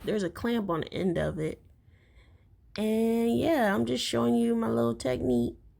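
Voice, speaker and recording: Speaking at a fairly slow pace, a woman with a medium-pitched voice swings very widely in pitch. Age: 30s. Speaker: wig maker and cosplay video creator. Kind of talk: tutorial voiceover. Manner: casual, chatty.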